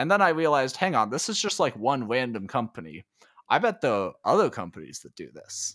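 A man's voice with very wide pitch swings at a fairly quick pace. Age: 20s. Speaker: tech writer and author. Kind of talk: interview. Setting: remote call.

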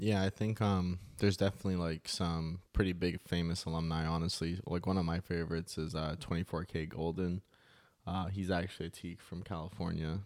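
A man speaks in a very deep, low voice at a fairly quick pace, with flat, monotone intonation, on a very clean recording with a silent background. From Cayman Islands. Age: 20s. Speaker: fraternity member, college student. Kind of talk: casual interview.

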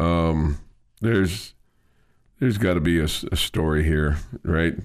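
Speaking rather slowly, the man has a very deep, low voice. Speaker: radio host. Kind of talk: casual sports talk radio chat. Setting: radio studio.

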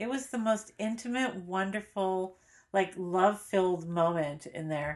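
In a plain, everyday voice, a woman talks at a fairly slow pace and a medium pitch with ordinary pitch variation. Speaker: podcast co-host. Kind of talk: casual chat, TV recap podcast.

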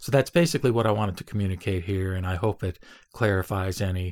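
Very deep and low, a man's somewhat breathy voice comes through on a very clean recording with a silent background. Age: 70s. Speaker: podcaster on Buddhism. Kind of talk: solo announcement monologue. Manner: conversational, with hesitations.

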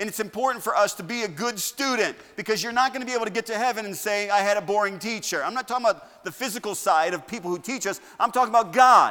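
This man's animated, bright and sharp voice is raised and projected, high in pitch with ordinary pitch variation, racing along at a very fast pace with hardly any pauses. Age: 50s. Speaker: pastor. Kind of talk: sermon. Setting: church. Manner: animated, excitable preacher who gets carried away; conversational, humorous, with direct appeals to the congregation.

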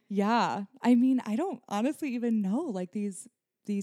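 In a plain, everyday voice, a woman speaks at a fairly slow pace with ordinary pitch variation, the sound dry and close with no echo. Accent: American. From Nebraska. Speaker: wedding photographer. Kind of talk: casual chat. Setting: studio.

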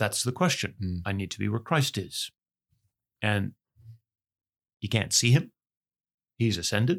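Lively intonation at a fairly slow pace, with long, frequent pauses, on a very clean recording with a silent background. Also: man, medium pitch for a man. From Ontario, Canada. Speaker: retired pastor. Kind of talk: interview conversation. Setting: studio.

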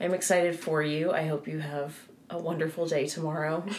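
A woman puts on a raspy character voice, very deep and low in pitch, speaking at a fairly quick pace in a flat monotone over clear background noise. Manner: forced cheerful through gritted teeth.

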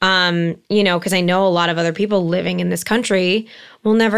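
A woman with a Californian accent speaks at a medium pitch and a fairly quick pace, her intonation fairly even. The recording is very clean, with a silent background. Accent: Californian American English. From Los Angeles, San Fernando Valley. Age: 30s. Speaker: entertainment marketing executive. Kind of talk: interview conversation. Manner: halting, many fillers.

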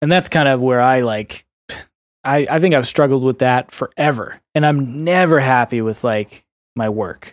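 An unremarkable speaking voice proceeds at a moderate pace with ordinary pitch variation. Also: man, medium pitch for a man. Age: 30s. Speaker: salesperson starting a video production company. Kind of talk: casual chat.

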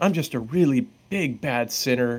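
This is a plain, everyday voice. A man with a medium pitch speaks at a fairly slow pace. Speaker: author and therapist. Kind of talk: casual interview chat. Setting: video call.

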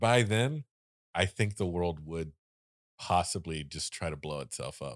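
In a very clean recording with a silent background and a dry, close sound with no echo, a man with a very deep, low pitch talks fairly slowly with lively intonation and long, frequent pauses. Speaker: podcast host. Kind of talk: casual chat.

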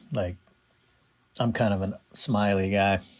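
A man's fairly low voice at a very slow pace. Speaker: video producer and friend. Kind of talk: reflective tribute.

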